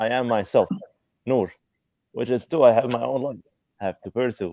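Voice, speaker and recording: A man with an Arabic accent at a moderate pace. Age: 20s. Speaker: student. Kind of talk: live video call interview. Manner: halting.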